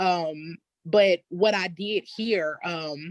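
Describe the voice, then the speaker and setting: A woman with an Arkansas accent speaks at a medium pitch, the sound dry and close with no echo. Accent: Southern US (Arkansas). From US South, Elaine, Arkansas. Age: 30s. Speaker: descendant of massacre survivors, community member. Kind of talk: testimony. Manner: halting, with many fillers.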